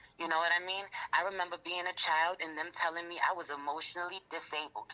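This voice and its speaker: A woman talks very fast with a New York accent, her pitch fairly low. Her intonation stays monotone and flat over noticeable background noise. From New York, Queens. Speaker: rapper and tarot reader. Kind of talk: interview.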